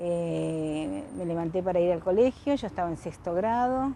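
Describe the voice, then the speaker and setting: A woman with a dark, mellow tone and medium pitch talks at a fairly slow pace, her intonation lively. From Argentina, Buenos Aires area. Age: 60s. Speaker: interviewee recalling the dictatorship. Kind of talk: oral history interview. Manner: halting, with false starts.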